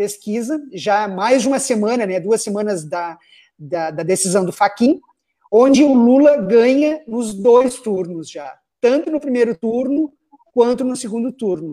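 Speaking at a fairly slow pace, a man with a high pitch and a dark, mellow tone uses lively intonation. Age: 40s. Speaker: web show host. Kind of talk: panel discussion on live web show.

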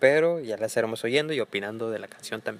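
A man with an ordinary speaking voice talks at a medium pitch. His pace is fairly quick, with ordinary pitch variation. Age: 20s. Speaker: marketing professional. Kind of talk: casual chat.

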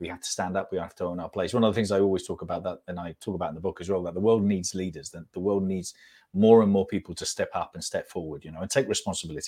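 A man with a very deep, low pitch and a dark, mellow tone rushes at a very fast pace, his intonation fairly even while his loudness swings widely. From Spain. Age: 50s. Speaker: author and entrepreneur. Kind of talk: interview. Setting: video call. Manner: halting.

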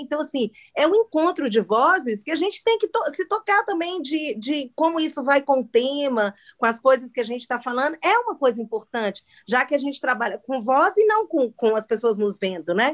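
Speaking at a moderate pace, a woman with a high voice makes very wide pitch swings, the sound dry and close with no echo. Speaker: podcast host. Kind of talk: casual chat. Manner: loud.

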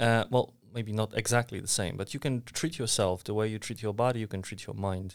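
In a very clean recording with a silent background, a man with a Polish accent speaks at a fairly quick pace, his pitch fairly low and his intonation fairly even. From Poland, Warsaw. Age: 30s. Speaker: mentor. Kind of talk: casual chat. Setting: co-working space.

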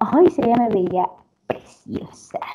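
Her tone is dark and mellow. The woman speaks at a very slow pace. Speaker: podcast co-host. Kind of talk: casual chat.

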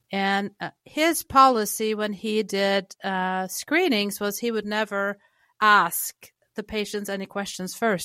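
A woman with a slight Norwegian accent speaks very slowly in a bright, sharp tone, at medium pitch with ordinary variation. The sound is dry and close with no echo, on a very clean recording with a silent background. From Norway. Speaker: chiropractic clinic worker and patient advocate. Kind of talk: interview conversation.

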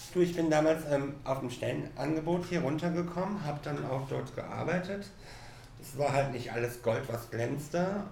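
Audible room echo and noticeable background noise surround a man whose fairly high pitch moves with ordinary variation. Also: moderate pace. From Cologne, Germany. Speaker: hairdresser. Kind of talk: casual chat. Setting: hair salon.

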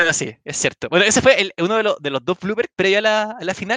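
A man with a Chilean accent speaks at a very fast pace in a raised, projected voice, his pitch high and his tone bright and sharp. The sound is dry and close with no echo. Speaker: podcast host and tournament commentator. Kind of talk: casual chat.

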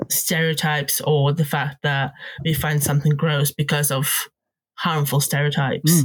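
A somewhat breathy woman's voice, very deep and low in pitch, with monotone, flat intonation, very even loudness and a moderate pace. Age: 30s. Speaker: podcast co-host. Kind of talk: casual chat.

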